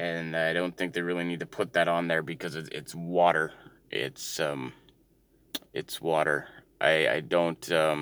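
On a very clean recording with a silent background, a man mumbles at a fairly slow pace in a very deep, low pitch with fairly even intonation. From Canada, Ontario. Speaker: solo podcaster. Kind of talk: casual monologue. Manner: mumbling; hesitant, many fillers.

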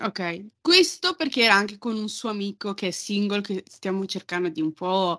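A woman speaks in a bright, sharp tone at a moderate pace with ordinary pitch variation. The recording is very clean, with a silent background. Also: medium pitch for a woman, dry, close sound with no echo. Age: 20s. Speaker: podcast guest. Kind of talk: casual chat.

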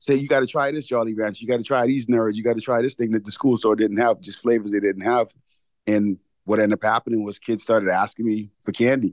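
Very fast in pace, a man speaks at a medium pitch with fairly even intonation. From Bahamas. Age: 40s. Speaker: entrepreneur. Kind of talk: interview. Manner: casual.

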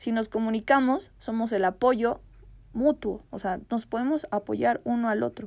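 In a very clean recording with a silent background, a woman speaks in an animated tone. Her intonation is lively and her pace fairly slow. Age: 20s. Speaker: podcast host. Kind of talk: casual monologue.

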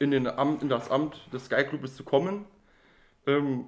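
At a fairly slow pace and with fairly even intonation, this is an ordinary speaking voice. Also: man. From Saarland, Germany. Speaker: podcast co-host. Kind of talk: casual chat.

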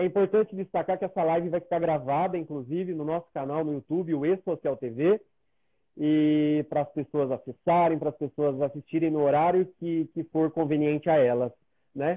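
Here a man speaks at a moderate pace with a fairly high pitch. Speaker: live show host. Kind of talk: interview. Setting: video call. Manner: animated.

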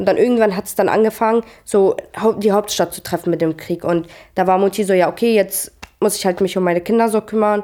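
With a dark, mellow tone, a woman speaks at a fairly quick pace, her pitch medium and her intonation fairly even. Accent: Arabic. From Syria (Damascus). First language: Arabic (speaking German). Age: 20s. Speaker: trainee educator. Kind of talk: interview. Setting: at home.

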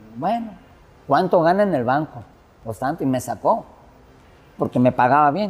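A man with a fairly high pitch and lively intonation speaks at a moderate pace while music plays in the background. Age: 50s. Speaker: DJ. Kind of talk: casual interview. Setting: bar with music playing.

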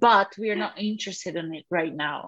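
A woman's voice in a Portuguese accent at a moderate pace, over a quiet background. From Brazil, northeastern state of Alagoas. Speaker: visual artist and researcher. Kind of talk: interview.

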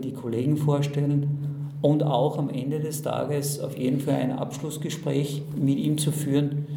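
Amid noticeable background noise and audible room echo, a man speaks at a fairly slow pace in a monotone, flat intonation. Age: 50s. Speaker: manager. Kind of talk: interview. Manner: halting.

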